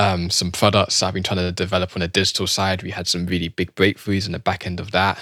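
Delivered at a very fast pace with hardly any pauses, this voice has a British accent, a bright, sharp tone, monotone, flat intonation and a dry, close sound with no echo. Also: man, very deep, low pitch for a man, very clean recording, silent background. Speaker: entrepreneur and coach. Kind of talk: casual interview chat.

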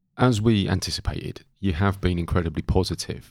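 In a very clean recording with a silent background, a man with an East Anglian accent speaks at a moderate pace, his fairly low pitch moving with ordinary variation. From East Anglia England. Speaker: podcast host. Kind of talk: casual podcast interview.

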